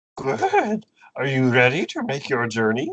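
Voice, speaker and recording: In a put-on character voice with a low-to-middle pitch, the speaker moves at a moderate pace. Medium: actual play. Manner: inverted word order, cryptic.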